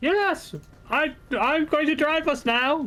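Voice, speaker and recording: A put-on character voice with high pitch goes at a fairly slow pace over clear background noise. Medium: actual play.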